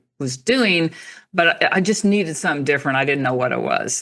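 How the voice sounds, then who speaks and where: A woman's very deep, low voice with an American accent and lively intonation, over a quiet background. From Oklahoma. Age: 60s. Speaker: author and natural health teacher. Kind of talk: interview.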